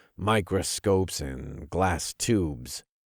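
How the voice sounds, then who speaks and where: A man puts on a gruff, growling character voice pitched very deep and low. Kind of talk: gritty military action audiobook narration. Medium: read story. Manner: terse, gruff, growling.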